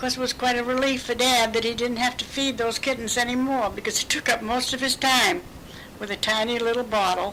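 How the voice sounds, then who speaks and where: The intonation stays fairly even. Noticeable background noise runs beneath the voice. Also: woman. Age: 80s+. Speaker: great-grandmother sharing memories. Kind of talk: oral history interview.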